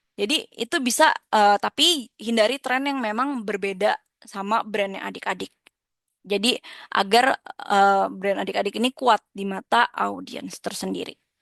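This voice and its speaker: A woman speaks at a moderate pace and fairly high pitch with ordinary pitch variation, in a dry, close sound with no echo and a quiet background. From Indonesia, Jakarta. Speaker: lecturer. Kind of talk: lecture. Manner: halting, many fillers.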